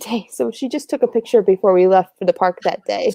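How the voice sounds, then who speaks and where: A woman speaks at a very fast pace with an American accent. The sound is dry and close with no echo. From US Midwest, Wisconsin. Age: 20s. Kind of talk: live stream chat.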